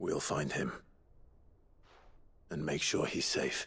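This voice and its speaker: Raspy, put-on character voice from a man, delivered at a fairly slow pace. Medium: video game. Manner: calm, earnest.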